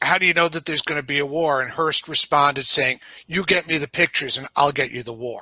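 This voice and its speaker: A man with a New York accent speaks at a fairly high pitch in a bright, sharp tone. The sound is dry and close, with no echo. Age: 60s. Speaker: podcast guest. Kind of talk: casual chat. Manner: halting, many fillers and repeats.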